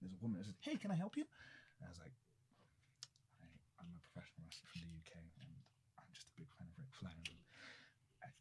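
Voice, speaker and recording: With a British accent, a man with a fairly low pitch talks very fast, his somewhat breathy voice making very wide pitch swings and big swings in loudness, broken by long, frequent pauses. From London, England. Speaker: professional wrestler. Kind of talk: casual chat. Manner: animated.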